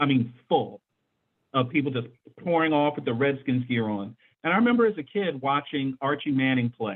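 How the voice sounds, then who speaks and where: A man with an ordinary speaking voice, fairly high in pitch with ordinary pitch variation, talks at a moderate pace. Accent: American. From Washington DC, Mount Pleasant. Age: 50s. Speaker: sports talk show host. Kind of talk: casual panel discussion.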